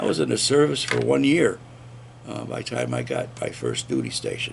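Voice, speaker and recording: There is noticeable background noise. A man with an American accent speaks at a fairly quick pace. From upstate New York. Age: 70s. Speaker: army veteran and former radio host. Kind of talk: oral history interview. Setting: recorded interview at a veterans center.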